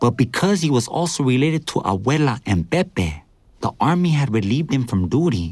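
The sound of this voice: The clip features an unforced reading voice.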